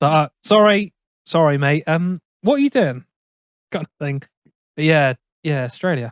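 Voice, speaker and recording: Long, frequent pauses break up a man's fairly high-pitched speech with ordinary pitch variation. The sound is dry and close, with no echo. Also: moderate pace. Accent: Somerset. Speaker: podcast co-host. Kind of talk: casual chat. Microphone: poor audio quality.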